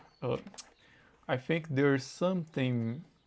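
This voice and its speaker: With a Brazilian Portuguese accent, a man speaks at a fairly slow pace in a fairly high pitch, using ordinary pitch variation. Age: 20s. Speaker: English learner. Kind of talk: casual conversation practice. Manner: halting, searching for words.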